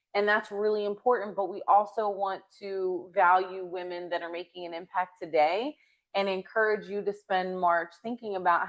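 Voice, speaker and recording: At a moderate pace, a woman talks with fairly even intonation. Her pitch sits in the medium range. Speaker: podcast host. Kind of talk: casual chat. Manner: loud.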